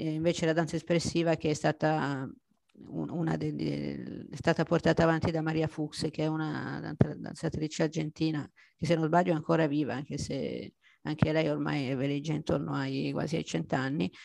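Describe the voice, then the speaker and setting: The recording is very clean and the background silent. In it, a woman speaks at a moderate pace. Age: 50s. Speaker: amateur adult ballet dancer. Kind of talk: interview testimony. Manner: halting.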